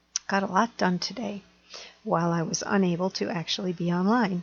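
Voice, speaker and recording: A woman talks at a fairly slow pace and medium pitch. Noticeable background noise is present. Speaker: astrologer. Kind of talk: astrology forecast monologue.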